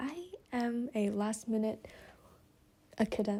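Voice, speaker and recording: The woman's voice has a dark, mellow tone and is somewhat breathy. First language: not English. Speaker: student. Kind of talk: casual vlog. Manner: slow; halting.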